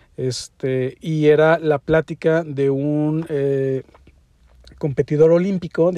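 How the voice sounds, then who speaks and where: With a Mexican accent, the voice has a dark, mellow tone, heard dry and close with no echo against a quiet background. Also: man. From Mexico. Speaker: podcast host and interior design teacher. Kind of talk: solo podcast monologue. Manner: casual with many fillers.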